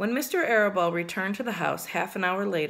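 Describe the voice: Someone reads aloud plainly.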